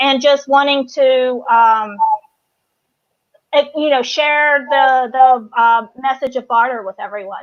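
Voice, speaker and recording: With a Southern US accent, a woman speaks at a very slow pace. Her pitch is high, with ordinary pitch variation. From US South, North Carolina. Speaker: business co-founder. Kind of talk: interview. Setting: live stream.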